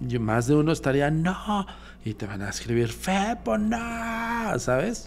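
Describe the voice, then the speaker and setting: Over light background noise, a man speaks very slowly in a somewhat breathy voice with very wide pitch swings. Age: 40s. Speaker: paranormal investigator; guest. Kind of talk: casual chat. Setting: studio. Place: studio. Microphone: studio mic.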